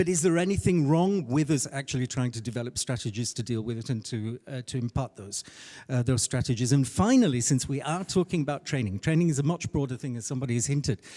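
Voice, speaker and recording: At a very fast pace with hardly any pauses, a man speaks in a dark, mellow tone at medium pitch with ordinary pitch variation, on a very clean recording with a silent background and a dry, close sound with no echo. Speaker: conference interpreter and interpreter trainer. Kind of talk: panel discussion. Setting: conference panel with audience. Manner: hesitant, many fillers.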